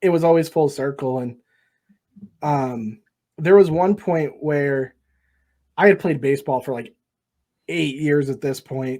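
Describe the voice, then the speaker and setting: A man with an American accent speaks at a fairly slow pace, leaving long, frequent pauses. His pitch is fairly high, his tone dark and mellow, and his pitch variation ordinary. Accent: Boston accent, comes out at random times. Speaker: sports podcast host. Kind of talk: casual chat. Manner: animated.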